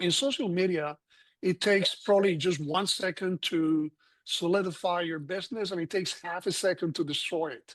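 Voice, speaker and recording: A man speaks at a moderate pace in a high pitch with ordinary pitch variation. The sound is dry and close with no echo, against a quiet background. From Colombia. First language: Spanish. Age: 60s. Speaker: physician and health product consultant. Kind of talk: panel discussion.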